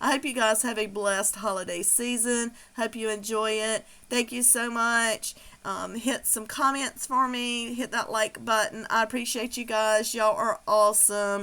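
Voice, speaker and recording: At a moderate pace, a woman with a Southern US accent speaks in a fairly high, bright, sharp voice. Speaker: craft channel creator. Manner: casual, filler-heavy.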